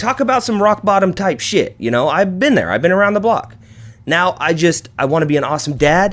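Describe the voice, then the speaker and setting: Speaking fairly quickly in an animated tone, a man uses a high pitch with very wide pitch swings. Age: 30s. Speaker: podcast host. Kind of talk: casual monologue. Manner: fast.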